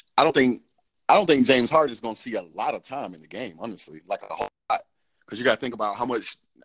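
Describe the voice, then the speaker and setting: A man of medium pitch with an American accent, recorded with a dry, close sound and no echo. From Georgia, US (Cobb County). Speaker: podcast host. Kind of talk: casual chat. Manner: hesitant, many fillers.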